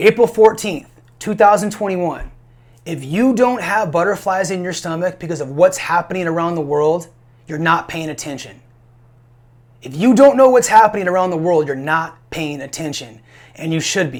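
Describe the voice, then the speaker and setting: A man's high-pitched voice with lively intonation, big swings in loudness and a moderate pace. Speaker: safety and firearms trainer, prepping channel host. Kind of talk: solo video monologue, advice talk. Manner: mumbling, stuttering; casual, repetitive with fillers.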